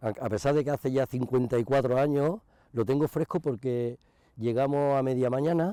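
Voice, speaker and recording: A man speaks at medium pitch and moderate pace in a dark, mellow tone, his loudness very even and his pitch variation ordinary. The sound is dry and close, with no echo. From Andalusia, province of Cádiz (rural village). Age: 60s. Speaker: retired mechanic. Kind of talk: interview testimony. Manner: halting, with frequent false starts.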